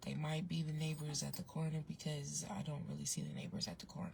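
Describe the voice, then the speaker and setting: Soft-spoken and very deep, low in pitch, a woman speaks with vocal fry and monotone, flat intonation. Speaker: online advice vlogger. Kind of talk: casual storytelling vlog. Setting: outdoors, in a parked car with windows down. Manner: soft-spoken, talking low.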